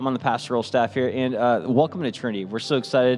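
Faint music plays behind a man who talks at a fairly quick pace. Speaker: pastoral staff worship leader. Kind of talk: church welcome address. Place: church. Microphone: studio mic.

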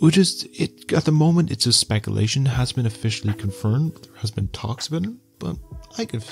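Over faint background music, a soft-spoken man talks at a very fast pace with lively intonation. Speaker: YouTube news and entertainment commentator. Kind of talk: casual talk to camera, news commentary. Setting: late-night home recording. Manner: soft-spoken, ASMR style. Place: home room. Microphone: handheld.

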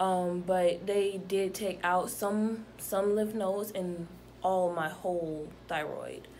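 A woman with an American accent speaks at a very slow pace in a medium pitch. Her intonation is monotone and flat, with light background noise behind her. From Atlanta, Georgia, US South; Georgia. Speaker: patient. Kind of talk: testimony. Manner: halting. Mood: calm, reflective. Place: home room. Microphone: phone near.

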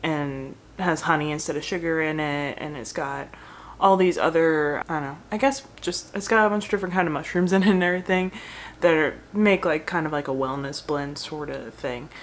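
Over light background noise, a woman with a very deep, low pitch talks at a fairly quick pace with ordinary pitch variation. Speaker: food blogger. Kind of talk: casual vlog chat. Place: home room. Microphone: phone near.

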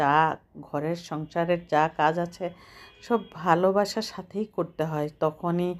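This is a woman speaking. Her pitch is fairly low. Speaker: cooking channel host. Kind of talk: cooking tutorial.

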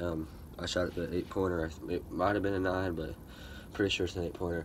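A man talks at a fairly quick pace in a very deep, low voice with monotone, flat intonation. There is light background noise. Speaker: hunting vlogger. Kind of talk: casual vlog chat. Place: open country. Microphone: phone near.

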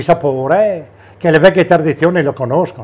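Lively intonation marks a man's delivery at a moderate pace. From Friuli, Italy. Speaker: butcher. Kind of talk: interview; interview answer. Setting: butcher shop. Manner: halting. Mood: calm, friendly. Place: shop.

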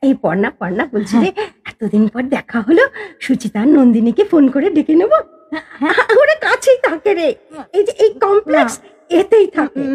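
A woman's high voice with very wide pitch swings, in dry, close sound with no echo. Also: moderate pace. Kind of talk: audio drama.

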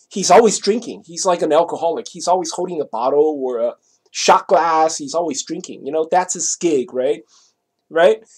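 Against a quiet background, a man with a high voice talks at a moderate pace with ordinary pitch variation. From Taiwan. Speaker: vlogger; vlogger telling a personal story. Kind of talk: casual monologue; casual vlog chat. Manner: halting. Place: home room. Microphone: webcam.

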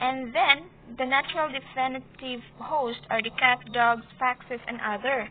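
In a Visayan Filipino accent, a woman talks at a fairly slow pace. Her pitch is high, and her intonation is fairly even. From Philippines. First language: Cebuano. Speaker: student. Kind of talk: class report presentation. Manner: halting.

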